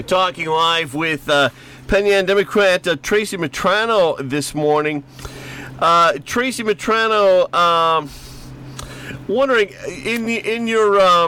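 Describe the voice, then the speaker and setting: A man with a Rochester accent speaks at a high pitch with lively intonation. His pace is fairly slow with long, frequent pauses, and there is noticeable background noise. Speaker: radio host. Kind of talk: radio interview. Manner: halting, many fillers.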